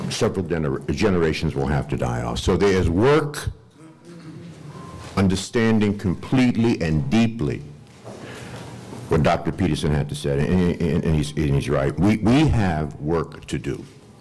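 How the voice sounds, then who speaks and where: Very deep, low male voice with lively intonation at a moderate pace, long, frequent pauses and noticeable background noise. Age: 60s. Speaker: panel speaker. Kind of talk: panel talk. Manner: animated.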